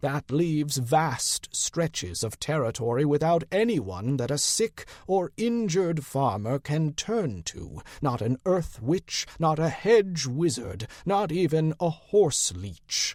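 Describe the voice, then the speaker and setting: A man puts on a character voice at a fairly high pitch, moving at a fairly slow pace with hardly any pauses. The recording is very clean, with a silent background. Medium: read story. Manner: weary, blunt, shrewd.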